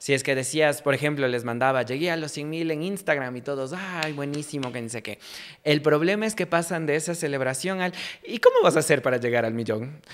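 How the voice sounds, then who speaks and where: The speaker has a Quito accent and an animated tone. The pace is fairly quick, with ordinary pitch variation. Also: man, fairly high pitch for a man. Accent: Quito Ecuadorian Spanish. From Ecuador, Quito; Ecuador. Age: 20s. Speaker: journalist and comedy content creator; journalist, comedy content creator. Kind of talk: casual interview chat. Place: studio. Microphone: studio mic.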